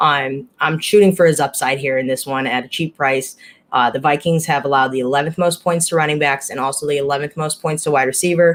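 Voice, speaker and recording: Very deep and low-pitched, a woman talks at a fairly quick pace with fairly even intonation. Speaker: fantasy sports analyst. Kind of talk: casual chat. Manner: halting.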